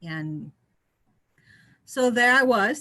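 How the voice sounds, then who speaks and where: A woman speaks in a Portuguese accent with a bright, sharp tone. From Brazil. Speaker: engineer, guest speaker. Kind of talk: interview, personal story. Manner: halting.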